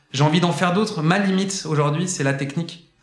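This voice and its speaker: A man talks at a very fast pace over noticeable background noise and audible room echo. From France, Saint-Étienne. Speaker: singer and content entrepreneur. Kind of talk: casual interview. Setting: indoor room at his workplace.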